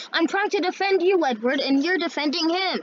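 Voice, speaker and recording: Putting on a character voice, a woman talks at a fairly quick pace with an extremely high pitch. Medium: read story.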